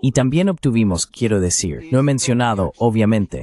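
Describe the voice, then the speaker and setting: Lively intonation marks this man's dark, mellow voice, which sits at a medium pitch and moves at a moderate pace in a dry, close sound with no echo. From Greece. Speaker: political commentator. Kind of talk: interview. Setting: video call.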